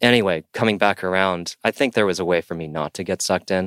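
A man with ordinary pitch variation is heard in a very clean, dry, close recording with a silent background and no echo. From US West Coast, San Diego. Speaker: touring multi-instrumentalist. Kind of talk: casual chat.

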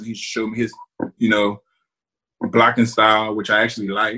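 A man talks fairly quickly at a medium pitch. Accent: American. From South Jersey, US. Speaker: retired NFL offensive lineman. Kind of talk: interview.

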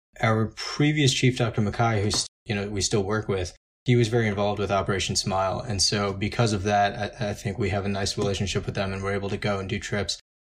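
Talking very fast with hardly any pauses, a man with an American accent uses a fairly low, somewhat breathy voice and fairly even intonation. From Long Island, New York. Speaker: plastic surgery resident. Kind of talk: interview.

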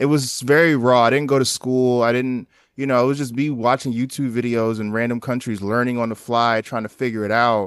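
Fairly quick, monotone, flat delivery with hardly any pauses. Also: man, medium pitch for a man, quiet background. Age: 30s. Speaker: documentary photographer. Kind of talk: casual interview.

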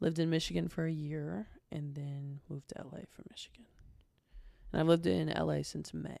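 Her loudness swings widely as a woman talks at a fairly quick pace. She speaks with an American accent. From southern Ohio, US. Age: 20s. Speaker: social media influencer. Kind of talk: casual chat.

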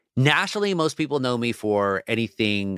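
A man speaks in an ordinary speaking voice, medium in pitch, with an American accent, at a fairly quick pace. The recording is very clean, with a silent background and dry, close sound with no echo. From Southern California, Orange County (Anaheim). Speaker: newspaper columnist. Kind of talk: interview.

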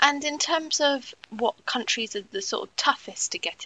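A woman speaks in a British accent at a moderate pace. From UK. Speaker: trade magazine editor and podcast host. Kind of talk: interview.

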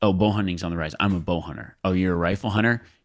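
He speaks with an American accent in a fairly low pitch with ordinary pitch variation. The man has an ordinary speaking voice. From Nevada. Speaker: professional hunter and outdoor TV host. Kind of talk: casual chat.

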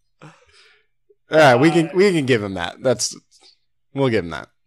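A man's medium-pitched voice with lively intonation, at a moderate pace. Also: long, frequent pauses, big swings in loudness. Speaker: podcast co-host. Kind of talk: casual chat.

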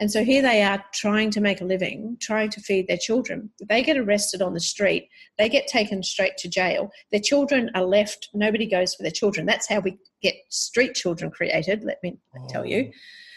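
In an Australian accent, a woman speaks at a moderate pace with a medium pitch, ordinary pitch variation and a somewhat breathy sound. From Australia, Queensland (Sunshine Coast). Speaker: charity founder. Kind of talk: interview. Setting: phone call.

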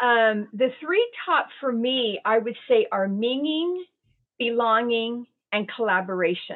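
A woman with a fairly high pitch speaks at a very slow pace with lively intonation. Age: 60s. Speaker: resilience and well-being advisor. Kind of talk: interview.

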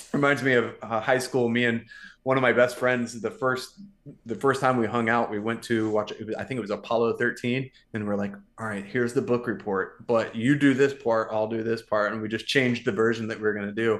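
A man at a medium pitch in an ordinary speaking voice, with fairly even intonation and a fairly quick pace. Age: 40s. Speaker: male model and podcaster. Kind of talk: casual chat.

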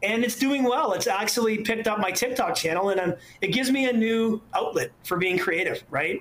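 Speaking at a fairly quick pace with a Canadian accent, a man sounds animated and excited, with ordinary pitch variation. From Ontario, Canada. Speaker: urban explorer and photographer. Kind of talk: casual interview chat. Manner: animated, excited; halting, many fillers.

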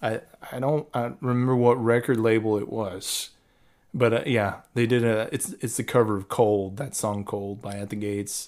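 An unremarkable speaking voice from a man at medium pitch, with fairly even intonation and a moderate pace, on a very clean recording with a silent background. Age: 30s. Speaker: death metal guitarist. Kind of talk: casual interview chat.

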